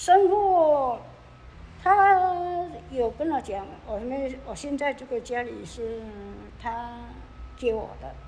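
Speaking at a very slow pace, a woman with a high pitch makes very wide pitch swings and big swings in loudness, leaving long, frequent pauses. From Taiwan, Nantou (Yuchi). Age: 70s. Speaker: retired cleaner. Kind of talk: interview. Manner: halting.

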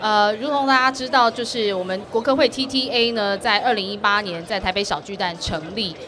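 Moderate pace and ordinary pitch variation, with noticeable background noise and audible room echo. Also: woman. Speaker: government official. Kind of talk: interview. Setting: live expo floor.

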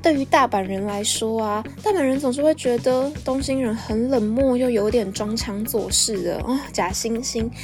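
With music in the background and audible room echo, a woman speaks at a fairly slow pace in a fairly high pitch, hardly pausing at all. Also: ordinary pitch variation. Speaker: podcast host. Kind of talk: solo podcast monologue. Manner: animated.

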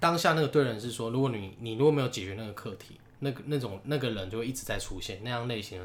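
A man with medium pitch speaks at a very fast pace with hardly any pauses. His voice is somewhat breathy, with ordinary pitch variation. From Taiwan, Taichung. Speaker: podcast co-host. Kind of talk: casual chat.

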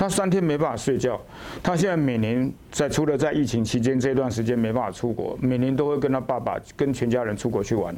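At a fairly quick pace, a man speaks at medium pitch with ordinary pitch variation and very even loudness, with audible room echo. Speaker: orthopedic surgeon. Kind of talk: interview. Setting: hospital.

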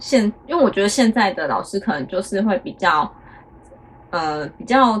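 A woman speaks in an ordinary speaking voice with fairly high pitch. She uses lively intonation at a moderate pace. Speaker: podcast co-host, teacher's wife. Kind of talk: casual chat.

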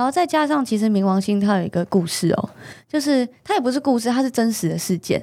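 Speaking very fast at a fairly high pitch, a woman keeps her intonation lively and her loudness very even. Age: young. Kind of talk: interview about her cancer recovery.

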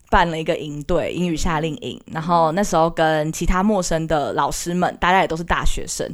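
A woman with an unremarkable speaking voice, fairly low in pitch, at a moderate pace. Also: very clean recording, silent background. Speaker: university student, aspiring teacher. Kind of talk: casual chat.

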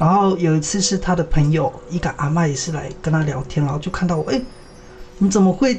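A man with a high pitch races along at a very fast pace, his pitch varying in an ordinary way, with music in the background. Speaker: weaver and student. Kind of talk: casual chat.

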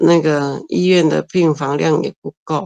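A woman's voice comes across dry and close, with no echo. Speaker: mouth painter and art teacher. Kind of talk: interview. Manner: halting.

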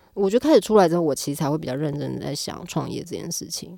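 Very fast and fairly low-pitched, a woman speaks. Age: 40s. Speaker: arts company executive director. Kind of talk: casual interview. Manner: animated.

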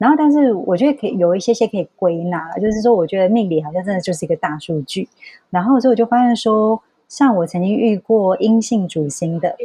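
With an unremarkable speaking voice, a woman talks at a medium pitch and a fairly quick pace, using lively intonation, in a dry, close sound with no echo. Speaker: astrology consultant. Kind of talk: casual chat.

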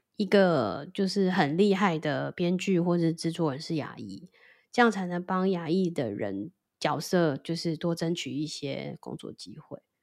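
A woman with a normal speaking voice talks fairly slowly at a fairly low pitch. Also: big swings in loudness, very clean recording, silent background. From Taiwan. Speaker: podcast co-host. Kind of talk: casual chat.

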